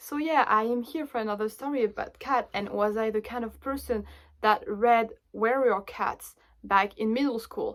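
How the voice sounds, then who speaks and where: The speaker has a French accent and ordinary pitch variation. The pace is moderate. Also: woman. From France. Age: 20s. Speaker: book vlogger. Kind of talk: casual chat.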